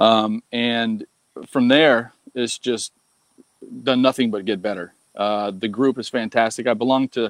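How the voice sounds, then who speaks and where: This man has a normal speaking voice at medium pitch and fairly even intonation. He talks at a fairly slow pace, and the sound is dry and close with no echo. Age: 50s. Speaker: online marketing student. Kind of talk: casual interview.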